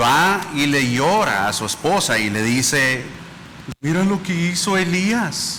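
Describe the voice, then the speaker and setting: Noticeable background noise sits under speech with lively intonation. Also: man. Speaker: preacher. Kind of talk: sermon.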